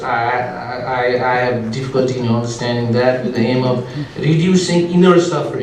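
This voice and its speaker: A man talks at a medium pitch. There is noticeable background noise and audible echo from the room. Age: 50s. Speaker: cardiac surgeon introducing a speaker. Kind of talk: speaker introduction. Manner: halting, many fillers.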